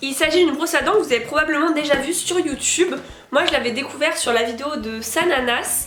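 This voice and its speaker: Over music in the background and audible room echo, a woman speaks at a high pitch and a fairly quick pace. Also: ordinary pitch variation. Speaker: beauty and product review youtuber. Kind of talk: product review vlog. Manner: hesitant with frequent fillers.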